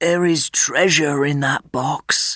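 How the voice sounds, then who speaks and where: In a put-on character voice, a man speaks at a fairly high pitch with fairly even intonation. The sound is dry and close, with no echo. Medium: read story.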